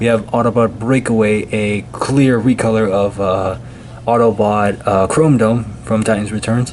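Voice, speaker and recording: Quiet speech from a man, fairly low in pitch, with fairly even intonation and a fairly slow pace against noticeable background noise. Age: 20s. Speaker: toy reviewer YouTuber. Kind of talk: product review. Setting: indoors, different location at night. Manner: quiet, lowered voice; casual, hesitant with fillers.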